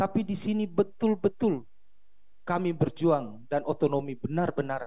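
A man's lively intonation at a fairly slow pace. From Maluku. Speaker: regional politician. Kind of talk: video call question. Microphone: video call.

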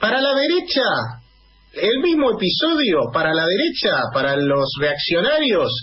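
His pitch swings very widely as the man talks at a fairly slow pace. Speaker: radio host. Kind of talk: radio interview and political commentary. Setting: radio studio.

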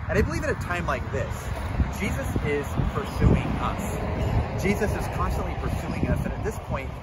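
Loud background noise sits behind a man recorded with a dry sound and no echo. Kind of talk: devotional talk. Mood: calm, earnest. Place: open country. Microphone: camera far.

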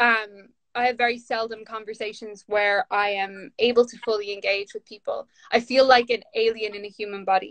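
With a Dublin accent, a woman speaks at a fairly high pitch in a monotone, flat intonation, her loudness swinging widely over a quiet background. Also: moderate pace. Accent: Dublin Irish. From Ireland, north Dublin. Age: 30s. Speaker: author and poet; poet. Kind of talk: casual chat. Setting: video call from home during lockdown. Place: home room. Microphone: phone near.

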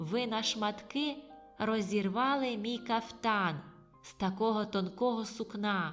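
Clear music plays behind a put-on character voice that sounds female, creaky and shrill, fairly high in pitch and delivered at a fairly slow pace. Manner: complaining, indignant.

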